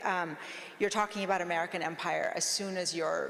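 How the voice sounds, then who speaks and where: Audible room echo surrounds a woman's voice. She speaks at medium pitch with fairly even intonation. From US, immigrated from Iran at nine. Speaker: law professor and author. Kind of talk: panel discussion. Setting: stage with live audience.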